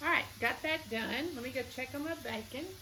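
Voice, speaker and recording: A woman speaks with a Southern US accent. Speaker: cooking vlogger. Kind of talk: cooking tutorial. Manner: casual, chatty.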